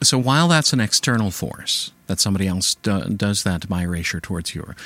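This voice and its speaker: With an American accent and an ordinary speaking voice, a man talks at a moderate pace and fairly low pitch, using lively intonation on a very clean recording with a silent background. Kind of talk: casual conversation interview.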